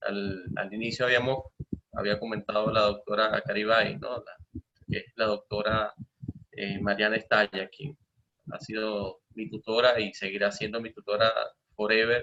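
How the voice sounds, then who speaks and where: With a slight Maracaibo accent, a man speaks at a fairly slow pace in a fairly low pitch. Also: fairly even intonation. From Venezuela, Maracaibo (Zulia). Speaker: professor and materials science researcher. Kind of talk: lecture. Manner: hesitant with frequent fillers.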